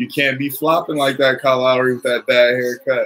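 The man's intonation stays fairly even as he speaks at a moderate speed. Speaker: sports fan commentator. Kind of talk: live sports commentary, casual play-by-play to a tiny live chat. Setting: live stream while watching the game. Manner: casual, off-the-cuff, play-by-play with jokes and reactions. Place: home room. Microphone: webcam.

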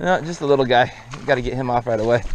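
Fast, medium-pitched male speech with ordinary pitch variation and faint background noise.

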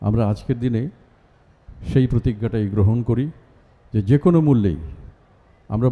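This man's voice sits at a medium pitch, with a dark, mellow tone and ordinary movement in pitch. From Bangladesh. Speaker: actor and reciter. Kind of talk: public speech at a university event. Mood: solemn, patriotic. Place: stage.

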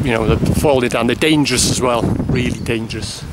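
The speech moves at a moderate pace while noticeable noise fills the background. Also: man, dry sound with no echo. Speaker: urban explorer vlogger. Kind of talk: casual vlog chat. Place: open country. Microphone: phone near.

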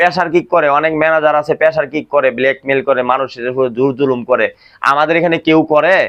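This man has a fairly high pitch and a bright, sharp tone. His pitch varies in an ordinary way. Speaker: factory supervisor. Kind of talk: staff meeting talk. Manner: call-and-response questioning.

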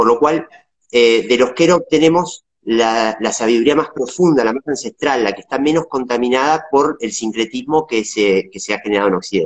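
A man speaks with a Rioplatense accent at a moderate pace. The background is quiet. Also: ordinary pitch variation. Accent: Argentine Spanish (rioplatense). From Argentina, Patagonia (Viedma). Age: 40s. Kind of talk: interview. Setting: video call. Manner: halting. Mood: calm, reflective. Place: home room.

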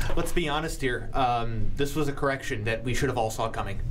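Moderate pace and fairly even intonation from a man, with noticeable background noise. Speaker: sports talk show host. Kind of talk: casual sports talk. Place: studio. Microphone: studio mic.

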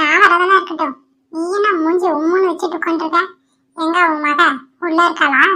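A woman does a cartoonish character voice at an extremely high pitch, monotone and flat in intonation, at a moderate pace. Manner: anxious, questioning.

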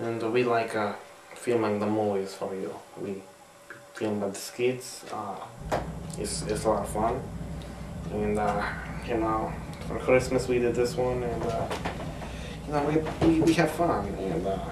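Loud background noise sits behind a man talking at a fairly slow pace. He leaves long, frequent pauses. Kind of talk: casual comedic skit talk. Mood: playful, hesitant fillers. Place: home room. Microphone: camera far.

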